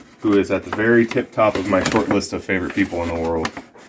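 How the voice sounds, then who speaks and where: A man speaks in a fairly low voice over noticeable background noise. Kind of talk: casual talk to camera.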